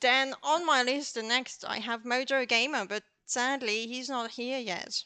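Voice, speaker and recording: Speaking with a non-native accent, a woman uses a high pitch and a bright, sharp tone at a fairly slow pace with fairly even intonation. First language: not English. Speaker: co-host of a photography live show. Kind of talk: casual chat.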